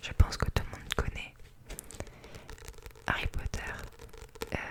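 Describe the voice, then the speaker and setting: The whispering moves along at a moderate pace. Behind it, noticeable background noise can be heard. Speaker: ASMR artist. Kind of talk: casual talk to camera. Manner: whispered.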